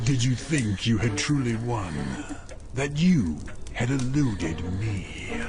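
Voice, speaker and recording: Amid loud background noise, a man uses a put-on character voice at medium pitch, speaking at a fairly slow pace with long, frequent pauses. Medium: audio drama. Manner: menacing, sinister.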